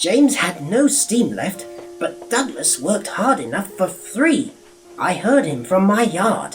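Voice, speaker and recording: Over clear music in the background, a put-on character voice at a middle pitch makes very wide pitch swings at a fairly slow pace. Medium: read story.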